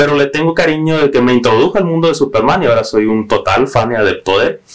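The man's voice sits fairly high and moves at a very fast pace. Lively intonation runs through it. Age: 20s. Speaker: comic book fan. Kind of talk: casual chat.

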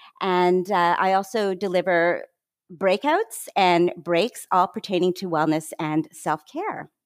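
A woman with a Canadian accent speaks very slowly at a medium pitch, with ordinary pitch variation. The recording is very clean, with a silent background and a dry, close sound with no echo. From Canada. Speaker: wellness consultant and health behavior scientist. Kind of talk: interview conversation.

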